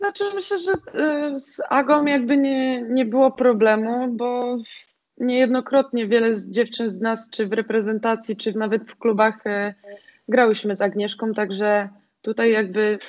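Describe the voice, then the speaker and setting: Here is a woman with a normal speaking voice and a fairly high pitch. She talks at a fairly slow pace with fairly even intonation over a quiet background. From Poland, grew up in the mountains then Piła; Poland. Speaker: volleyball player; guest. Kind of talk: casual interview; interview answer. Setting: home, in quarantine. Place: home room. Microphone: video call.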